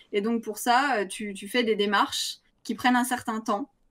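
Her pitch is high, and this woman shows ordinary pitch variation. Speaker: streamer. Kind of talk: casual chat.

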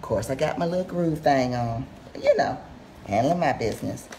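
Over light background noise, a woman speaks with a very deep, low pitch. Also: ordinary pitch variation, moderate pace. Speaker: home cook host. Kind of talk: casual cooking tutorial chat. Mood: relaxed, playful. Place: kitchen. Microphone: camera far.

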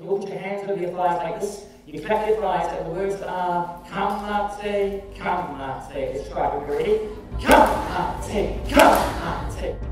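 Over loud background noise and audible room echo, a man speaks at a very slow pace. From New Zealand. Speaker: storyteller. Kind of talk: oral storytelling to children. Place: hall.

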